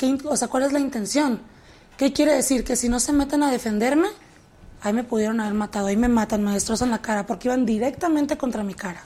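At a very fast pace, a woman speaks in a high pitch with ordinary pitch variation and a dark, mellow tone. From Mexico, Tijuana. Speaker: actress. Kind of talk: interview.

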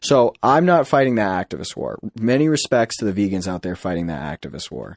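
An American-accented man with an unremarkable speaking voice talks at a fairly quick pace and medium pitch, dry and close with no echo on a very clean recording with a silent background. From Massachusetts, US. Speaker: airline pilot. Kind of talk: casual chat. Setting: studio.

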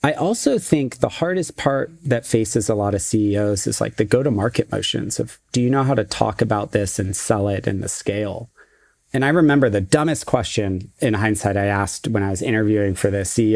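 With ordinary pitch variation, a man keeps a fairly low pitch and a fairly quick pace. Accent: Californian. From US West Coast. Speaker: tech executive. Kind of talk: interview.

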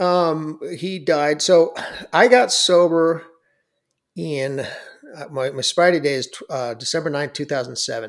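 A man speaks at a fairly slow pace and a fairly high pitch. His intonation is lively. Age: 50s. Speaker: sobriety coach and author. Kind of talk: interview. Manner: halting.

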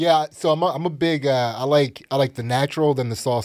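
The speaker has a plain, everyday voice, moderate in pace with ordinary pitch variation. The recording is very clean with a silent background. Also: man. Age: 40s. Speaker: comedian. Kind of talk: casual chat. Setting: studio.

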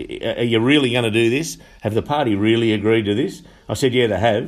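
A man with a strong Australian accent and fairly low pitch, at a very fast pace. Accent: broad Australian. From Upper Hunter, New South Wales, Australia. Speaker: union official and election candidate. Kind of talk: interview. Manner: halting, many fillers.

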